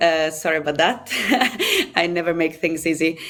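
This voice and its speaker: Noticeable background noise runs under this recording. A woman speaks with an Italian accent. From Italy. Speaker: rugby player. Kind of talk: interview. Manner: halting.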